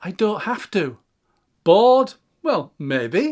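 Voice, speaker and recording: In a very clean recording with a silent background, a man with an English accent speaks very slowly at a high pitch, his pitch swinging very widely. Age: 60s. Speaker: YouTuber. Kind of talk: reflective monologue. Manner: calm.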